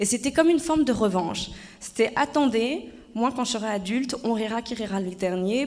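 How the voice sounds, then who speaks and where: A woman with a fairly high pitch talks at a moderate pace while noticeable background noise plays. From France, Haute-Savoie. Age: 30s. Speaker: former actress and public speaker. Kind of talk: conference talk. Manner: hesitant, many fillers.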